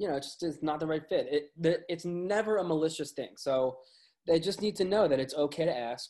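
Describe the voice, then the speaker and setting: This man has a fairly high pitch and a dark, mellow tone. He talks at a fairly quick pace with ordinary pitch variation. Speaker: music website editor. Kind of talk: casual interview chat.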